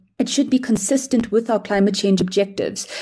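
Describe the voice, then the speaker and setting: Somewhat breathy and dark, mellow in tone, the woman's voice shows ordinary pitch variation. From South Africa, Durban. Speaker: climate finance activist. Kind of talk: podcast panel discussion.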